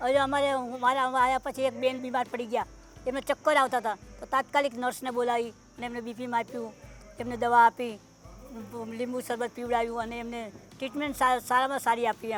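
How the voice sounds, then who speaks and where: With music in the background, a woman speaks in a high pitch and a monotone, flat intonation, her loudness swinging widely. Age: 80s+. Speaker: retirement home resident. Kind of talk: interview answer.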